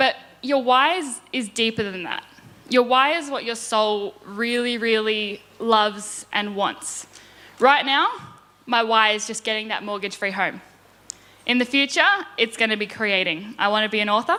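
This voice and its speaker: A woman speaks with an Australian accent at a fairly high pitch and ordinary pitch variation. Her pace is moderate, with noticeable background noise behind her. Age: 20s. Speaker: property investor. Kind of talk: conference presentation.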